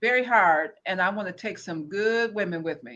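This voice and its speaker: A woman speaks with lively intonation in a bright, sharp tone. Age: 60s. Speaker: cosmetics sales consultant. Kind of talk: interview.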